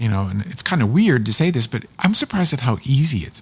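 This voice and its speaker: With an American accent, a man speaks at a fairly quick pace in a somewhat breathy, medium-pitched voice that makes very wide pitch swings. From Pittsburgh, western Pennsylvania. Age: 60s. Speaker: public television producer and narrator. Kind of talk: casual chat.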